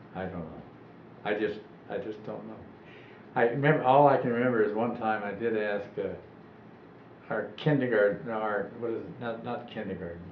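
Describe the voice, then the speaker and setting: A man at fairly low pitch and moderate pace, with ordinary pitch variation, long, frequent pauses, big swings in loudness and audible room echo. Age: 80s+. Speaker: elderly interviewee recalling his life. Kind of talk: oral history interview. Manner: halting.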